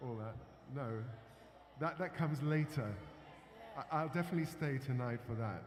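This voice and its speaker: A man with an English accent, fairly high in pitch and somewhat breathy, at a moderate pace with ordinary pitch variation and long, frequent pauses. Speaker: performer introducing songs. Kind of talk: talk to audience with interpreter. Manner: halting.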